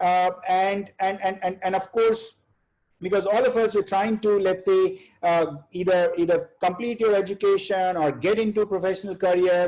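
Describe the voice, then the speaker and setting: A man's high, monotone, flat voice with an Indian accent. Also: moderate pace, very even loudness. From India, Bihar. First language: Hindi. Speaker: chartered accountant, webinar speaker. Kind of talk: webinar talk. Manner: halting, many fillers.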